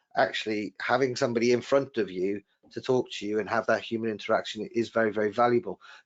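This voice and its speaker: Someone with a Welsh accent talks at a very fast pace, using ordinary pitch variation. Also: man. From Wales. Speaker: webinar host, trade magazine editor. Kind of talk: live webinar discussion. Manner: hesitant, many repeated words.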